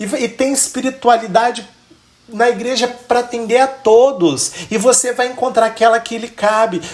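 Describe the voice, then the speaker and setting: At a moderate pace, a man speaks in a high voice over noticeable background noise. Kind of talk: religious teaching.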